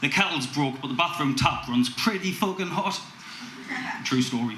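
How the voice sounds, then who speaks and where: A man with lively intonation at a moderate pace, amid noticeable background noise. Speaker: spoken word poet. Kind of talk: spoken word poetry performance. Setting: live open mic gig.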